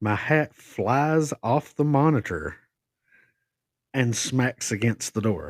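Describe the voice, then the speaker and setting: A man with an Appalachian accent speaks at a fairly slow pace with ordinary pitch variation. The recording is very clean with a silent background, and the sound is dry and close with no echo. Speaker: podcast co-host. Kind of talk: casual storytelling of personal ghost encounter.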